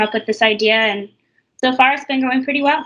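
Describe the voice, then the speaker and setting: Her tone is bright and sharp, with fairly even intonation. This woman speaks with an American accent. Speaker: physical therapist, startup founder. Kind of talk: interview.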